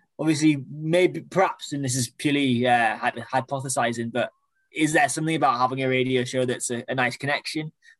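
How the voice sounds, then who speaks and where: A man with a normal speaking voice, medium pitch and fairly even intonation, in a dry, close sound with no echo. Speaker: podcast host, senior reporter. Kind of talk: casual interview. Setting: video call.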